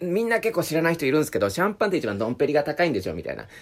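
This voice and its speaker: A man speaks with vocal fry. The recording is very clean, with a silent background. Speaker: podcast host. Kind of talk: casual chat. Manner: fast, smooth talker; constantly high energy.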